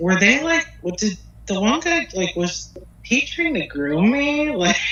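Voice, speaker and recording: A woman speaks with a Pennsylvania accent. Her pace is fairly slow and her intonation lively. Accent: US Northeast (Pennsylvania). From northeastern Pennsylvania. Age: 30s. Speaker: hair and makeup artist. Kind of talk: interview. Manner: halting.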